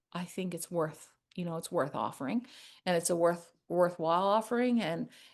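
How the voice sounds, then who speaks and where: A woman talks at a moderate pace in a fairly low pitch with ordinary pitch variation, over a quiet background. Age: 60s. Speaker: rug hooking artist and business owner. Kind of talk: casual chat.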